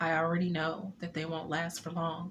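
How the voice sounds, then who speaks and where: A woman talks at a moderate pace in a fairly low, shaky voice. Her intonation is monotone and flat. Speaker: poet and author. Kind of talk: poetry reading. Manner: slightly shaky.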